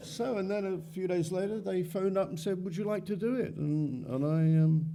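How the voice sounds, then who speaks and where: There is audible room echo around a man whose high pitch carries a dark, mellow tone. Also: ordinary pitch variation, moderate pace. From Wales. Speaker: actor. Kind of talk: panel interview at fan convention. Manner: halting, many fillers.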